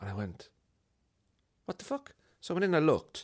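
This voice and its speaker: Speaking at a fairly quick pace, a man with a Cork accent uses lively intonation. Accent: Cork Irish. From Ireland, Cork. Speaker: comedian and podcast host. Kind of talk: casual chat.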